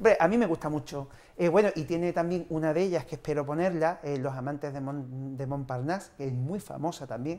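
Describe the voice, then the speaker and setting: Ordinary pitch variation runs through the man's fairly quick speech. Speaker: film club organizer; film commentator guest. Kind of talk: casual interview. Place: studio. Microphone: lapel.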